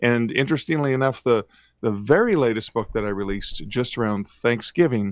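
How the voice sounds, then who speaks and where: Ordinary pitch variation and a moderate pace mark an unremarkable speaking voice with a Canadian accent. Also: man. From Canada, mid-northern Ontario. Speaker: author. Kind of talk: interview.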